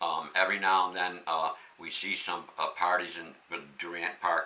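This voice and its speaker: Against noticeable background noise, a man with an American accent speaks at a moderate pace in a very deep, low pitch. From Pittsfield, Massachusetts. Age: 70s. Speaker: local election candidate. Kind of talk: interview.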